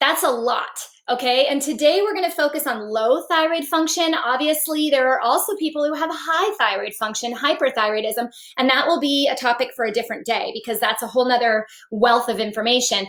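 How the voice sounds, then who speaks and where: At a fairly quick pace, a woman speaks in an animated tone with a high pitch. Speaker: naturopathic physician. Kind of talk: live-stream health talk. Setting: live stream on social media. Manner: fast.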